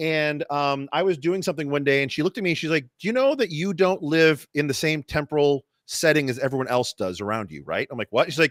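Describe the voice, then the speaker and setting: Very fast and with hardly any pauses, a man speaks with lively intonation. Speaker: podcast host. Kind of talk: casual chat. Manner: fast, stumbling.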